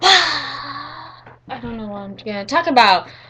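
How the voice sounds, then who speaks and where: Lively intonation and an animated tone come through over noticeable background noise. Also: woman. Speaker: webcam vlogger. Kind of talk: casual monologue to webcam. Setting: webcam recording. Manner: hyper, animated.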